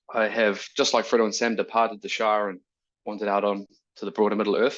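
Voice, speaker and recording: Talking at a very fast pace, a man with a New Zealand accent uses a fairly low pitch. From New Zealand, rural Waikato. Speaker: neuroscience researcher. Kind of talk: academic talk. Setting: video call. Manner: casual, hesitant with fillers.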